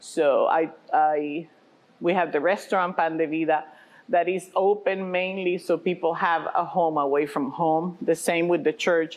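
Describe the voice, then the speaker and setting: The pace is fairly slow, with a slight Puerto Rican accent. Intonation stays fairly even and loudness very even. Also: woman, fairly low pitch for a woman. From Puerto Rico. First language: Spanish. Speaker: pastor and restaurant owner. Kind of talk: interview.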